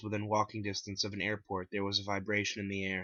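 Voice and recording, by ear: The speech moves at a fast pace with a fairly bright tone.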